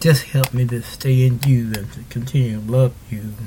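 A man talks with an American accent at a medium pitch. His pitch varies in an ordinary way. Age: 60s. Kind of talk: radio sermon and devotional talk. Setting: studio. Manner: repetitive, animated.

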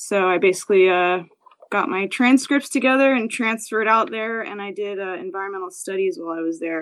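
At a moderate pace, a woman talks in a plain, everyday voice. Her pitch is medium. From New Jersey, US. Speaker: brewer. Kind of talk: casual interview.

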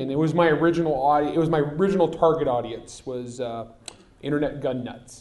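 A man's normal speaking voice, fairly high in pitch, with fairly even intonation at a fairly quick pace. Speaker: novelist and firearms expert. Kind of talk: live panel discussion. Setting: stage with audience.

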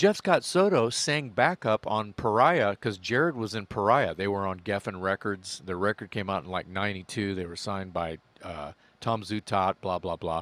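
A man with an American accent and an unremarkable speaking voice, fairly low in pitch with ordinary pitch variation, at a moderate pace, in a dry, close sound with no echo, on a very clean recording with a silent background. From Texas, Corpus Christi. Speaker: rock singer. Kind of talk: casual chat.

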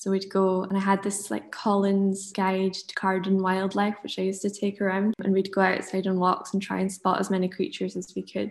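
A woman in a Dundee accent, monotone and flat, with hardly any pauses. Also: medium pitch for a woman. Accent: Scottish (Dundee). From Scotland, Monifieth near Dundee. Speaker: illustrator. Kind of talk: casual interview.

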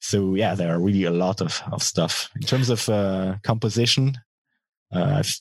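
Ordinary pitch variation marks the fairly slow speech of a man. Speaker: metal band guitarist and singer. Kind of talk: casual interview.

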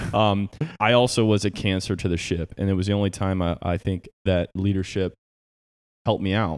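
An unremarkable speaking voice from a man with an American accent, at a fairly quick pace with fairly even intonation, in a dry, close sound with no echo on a very clean recording with a silent background. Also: fairly low pitch for a man. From Southeast Michigan. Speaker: podcast co-host, Navy veteran. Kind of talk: casual chat. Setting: home garage gym.

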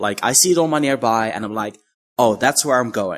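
A man with a Dutch accent speaks with lively intonation. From Netherlands. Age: 20s. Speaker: YouTuber. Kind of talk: interview.

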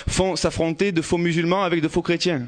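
Noticeable background noise sits behind a man whose fairly high voice moves at a moderate pace. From Marseille, northern districts. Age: 20s. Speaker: audience member speaking. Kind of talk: personal testimony. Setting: stage with audience.

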